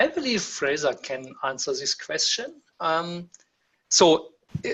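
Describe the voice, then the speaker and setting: The man talks at a very slow pace. He has a German accent. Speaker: webinar host. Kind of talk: webinar Q&A. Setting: online webinar. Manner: halting, many fillers.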